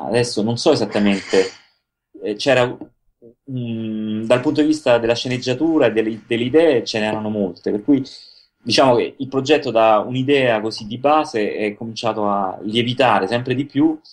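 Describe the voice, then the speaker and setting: In an ordinary speaking voice, a man talks at medium pitch and a moderate pace with ordinary pitch variation. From Italy, Rome. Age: 40s. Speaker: animator and illustrator. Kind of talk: interview.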